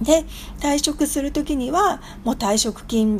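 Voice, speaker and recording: A woman speaks in a somewhat breathy voice with lively intonation. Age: 50s. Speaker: business consultant. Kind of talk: radio lecture.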